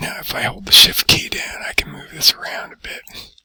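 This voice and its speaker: Whispering, a man speaks at a moderate pace. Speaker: teacher. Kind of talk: tutorial. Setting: library. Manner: soft-spoken.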